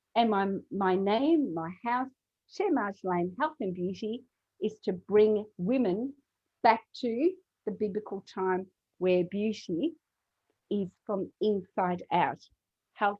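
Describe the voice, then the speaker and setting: Speaking at a very slow pace, a woman leaves long, frequent pauses. Her pitch varies in an ordinary way. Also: medium pitch for a woman. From Mauritius. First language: French. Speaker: natural health and beauty business owner. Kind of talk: interview.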